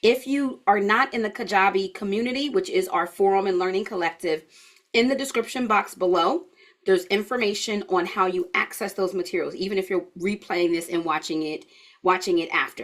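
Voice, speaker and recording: With a normal speaking voice, a woman talks at a fairly quick pace at a medium pitch with ordinary pitch variation. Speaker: health educator teaching an online course. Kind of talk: live online class. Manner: casual, chatty.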